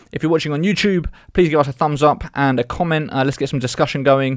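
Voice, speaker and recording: A man with a British accent at a very fast pace, fairly high in pitch, with fairly even intonation, a dry sound with no echo and a quiet background. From Britain. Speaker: podcast host. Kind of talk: interview. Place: studio. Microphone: studio mic.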